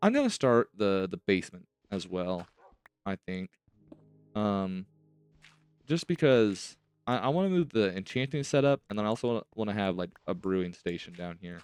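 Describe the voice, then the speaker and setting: Over background music, a man with a fairly low pitch talks at a moderate pace with lively intonation and long, frequent pauses, the sound dry and close with no echo. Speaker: gaming youtuber. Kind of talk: gameplay commentary.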